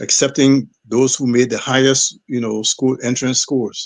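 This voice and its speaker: A man at medium pitch talks at a moderate pace. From Liberia (Monrovia). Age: 70s. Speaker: former footballer and football administrator. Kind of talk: interview. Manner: halting, many repetitions.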